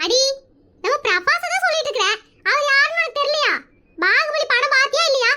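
A woman speaks at a moderate pace in a cartoonish character voice, squeaky and pitched extremely high. Her pitch swings very widely. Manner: gushing, teasing.

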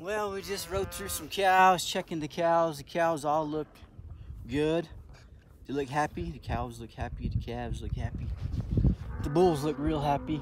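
A man speaks with long, frequent pauses over loud background noise. The sound is dry, with no echo. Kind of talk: casual vlog chat. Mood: playful, joking. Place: open country. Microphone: phone near.

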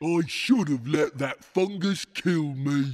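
At a fairly slow pace, a man does a put-on character voice with a fairly high pitch. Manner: gloomy, self-pitying, then contemptuous.

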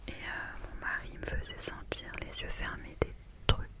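A soft-spoken woman's very slow whisper under loud background noise. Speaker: video creator. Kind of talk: soft-spoken ASMR chat. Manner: soft ASMR whisper close to mic. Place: home room. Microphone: studio mic.

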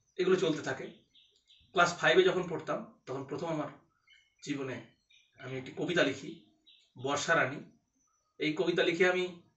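A man with a high voice and fairly even intonation. His loudness swings widely, and room echo is audible. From West Bengal, Katwa; West Bengal. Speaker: blind graduate student. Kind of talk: personal testimony monologue. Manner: halting, many pauses. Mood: calm, reflective. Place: home room. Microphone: phone near.

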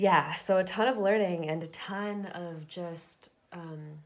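A woman with an American accent, over light background noise. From Southern California. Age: 20s. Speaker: YouTuber; vlogger. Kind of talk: personal testimony. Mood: reflective, open, gentle. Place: home room. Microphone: webcam.

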